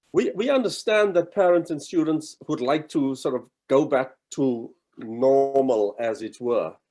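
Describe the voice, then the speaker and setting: A man speaks at a fairly slow pace in a fairly high pitch. His tone is dark and mellow. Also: lively intonation. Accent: South African. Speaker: college provost. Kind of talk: welcome address. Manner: halting, many fillers.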